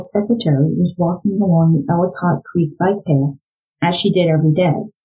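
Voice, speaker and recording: With music playing in the background, a woman with an American accent speaks at a fairly low pitch. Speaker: true crime podcast host and former psychology educator. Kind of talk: true-crime narration, reading aloud from the book in a serious storytelling mode. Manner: measured, grave and suspenseful.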